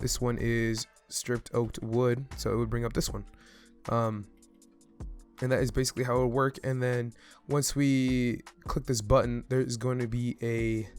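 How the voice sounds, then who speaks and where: Over music in the background, speech moves at a moderate pace in a flat monotone. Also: man, medium pitch for a man. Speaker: Minecraft redstone content creator. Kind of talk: casual gameplay tutorial narration.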